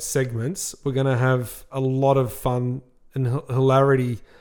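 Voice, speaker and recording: A man speaks at a fairly slow pace in a medium pitch. His tone is dark and mellow, and his intonation stays flat and monotone. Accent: Australian. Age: 30s. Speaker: podcast co-host, car dealership manager. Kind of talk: casual chat.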